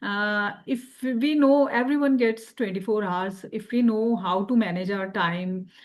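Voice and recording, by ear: A woman speaks at a fairly slow pace, her pitch medium with ordinary variation. Room echo is audible.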